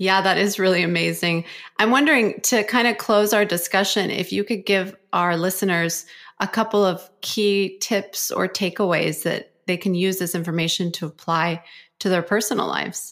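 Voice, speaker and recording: A woman with a plain, everyday voice, medium in pitch with fairly even intonation, on a very clean recording with a silent background. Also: moderate pace. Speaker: podcast host and acupuncturist. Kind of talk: casual interview.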